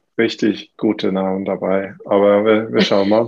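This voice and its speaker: A man with a Swedish accent speaks in a flat monotone. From Sweden. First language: Swedish (speaking German). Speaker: fitness coach and gym owner. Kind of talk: casual chat. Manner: halting, many fillers.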